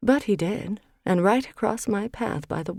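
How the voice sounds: A natural reading voice, with pitch that varies in an ordinary way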